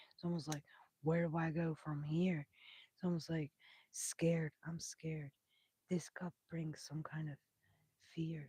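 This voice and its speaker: Long, frequent pauses break up speech delivered at a fairly slow pace. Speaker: tarot reader. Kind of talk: live stream tarot reading.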